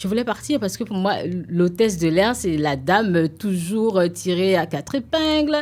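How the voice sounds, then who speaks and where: On a very clean recording with a silent background, a woman speaks at a moderate pace. Her pitch swings very widely. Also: medium pitch for a woman. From Benin, Ouidah. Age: young. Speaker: TV presenter and entrepreneur. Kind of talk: interview. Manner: hesitant, with many fillers.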